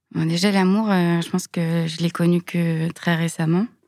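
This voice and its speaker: Speaking at a fairly slow pace, a woman with a fairly low pitch is heard on a very clean recording with a silent background. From Lyon suburbs, France. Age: 30s. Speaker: biomedical engineer. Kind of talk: testimony. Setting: studio.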